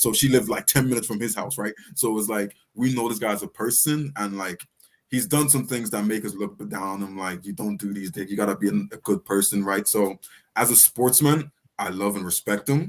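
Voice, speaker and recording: This man has a fairly low pitch with ordinary pitch variation. He talks at a fairly quick pace. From Ireland, Dublin. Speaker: rapper. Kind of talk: casual chat. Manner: animated.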